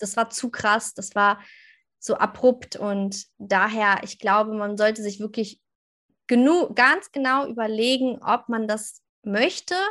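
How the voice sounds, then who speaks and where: Speaking at a very slow pace, a woman has a fairly high voice with a bright, sharp tone and ordinary pitch variation. Her loudness swings a lot against a quiet background. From northern Germany, near Hanover. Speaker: social media coach and mom blogger. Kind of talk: podcast interview. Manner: animated.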